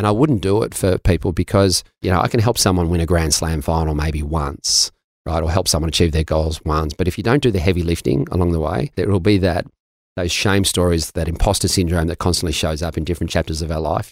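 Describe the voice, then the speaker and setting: Very fast speech from a man with a very deep, low pitch, ordinary pitch variation and an Australian accent. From Melbourne, Australia. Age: 50s. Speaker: mindset coach. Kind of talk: interview conversation. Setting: studio.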